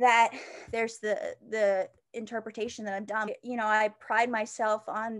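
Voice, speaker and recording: A woman's fairly high voice at a moderate pace with fairly even intonation. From Pennsylvania, US. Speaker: college student, social media creator. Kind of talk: interview. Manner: casual, halting with fillers.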